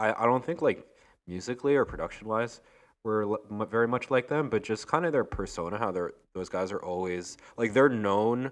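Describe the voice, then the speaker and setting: With a quiet background, a man in an American accent uses a normal speaking voice at a medium pitch, a moderate pace and ordinary pitch variation. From Long Island, New York. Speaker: DJ and music producer. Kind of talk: casual chat.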